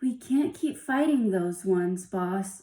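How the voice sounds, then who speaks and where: Putting on a growling character voice, a woman talks at a medium pitch and fairly slow pace. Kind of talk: storytelling character voices. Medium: read story. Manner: gruff, rough-spoken.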